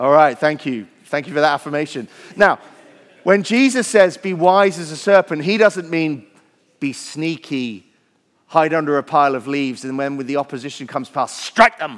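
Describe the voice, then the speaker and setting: A man speaks in a Welsh accent with lively intonation. His pitch is fairly high, and his pace moderate. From Wales. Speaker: pastor. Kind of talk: sermon. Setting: church.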